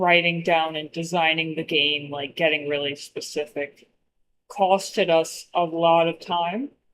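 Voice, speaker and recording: A woman's fairly low voice at a very slow pace. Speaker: indie game artist and designer streaming her work. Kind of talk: casual livestream chat. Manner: casual, many fillers.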